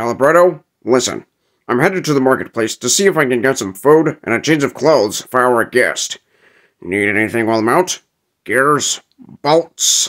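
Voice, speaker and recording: Lively intonation from a man at a medium pitch and moderate pace, in a very clean recording with a silent background. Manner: gruff, blunt.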